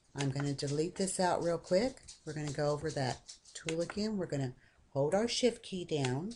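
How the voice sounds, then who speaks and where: A woman speaks at a moderate pace with a very deep, low pitch, a dark, mellow tone and lively intonation, over light background noise. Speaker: software tutorial maker; software tutorial narrator. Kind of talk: screen-recorded tutorial. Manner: casual, conversational.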